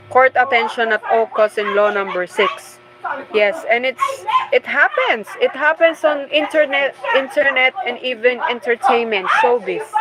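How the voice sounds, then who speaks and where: Over noticeable background noise, the voice makes very wide pitch swings at a moderate pace. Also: woman, high pitch for a woman. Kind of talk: casual book commentary livestream.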